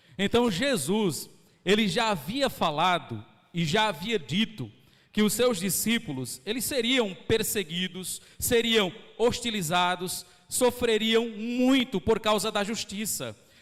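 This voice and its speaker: A man speaks at a very slow pace. His voice is high, with ordinary pitch variation. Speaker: pastor. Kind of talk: sermon. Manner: slowed down on purpose.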